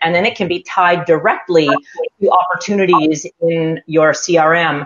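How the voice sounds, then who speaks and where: With a Canadian accent, a woman speaks at a moderate pace in an unremarkable speaking voice, her fairly low pitch showing ordinary variation. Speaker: sales consultant. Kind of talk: panel discussion. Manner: casual, many fillers.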